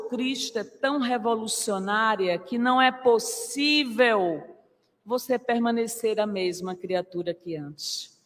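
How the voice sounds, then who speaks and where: Her pace is very slow. The woman's pitch is fairly high, with ordinary pitch variation. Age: 50s. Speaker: spiritist lecturer. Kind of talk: religious lecture. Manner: formal.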